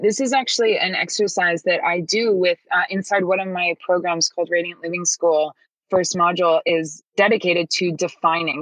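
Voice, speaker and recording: A woman with an American accent speaks at a moderate pace. Her fairly low voice has a dry, close sound with no echo. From upstate New York. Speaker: business coach. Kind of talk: interview conversation. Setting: remote call on laptop. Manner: animated.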